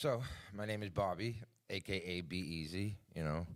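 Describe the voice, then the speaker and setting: A man with a Boston accent speaks with ordinary pitch variation. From Boston, Massachusetts. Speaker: cannabis brand owner. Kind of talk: casual interview chat. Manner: brash.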